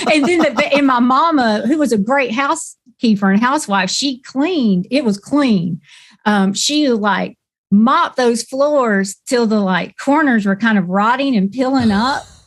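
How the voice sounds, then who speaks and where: With a Southern US accent, a woman speaks at a high pitch with lively intonation in a very clean recording with a silent background. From Florida, Wildwood (US South). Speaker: singer-songwriter. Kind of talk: interview, storytelling. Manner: casual, hesitant with fillers.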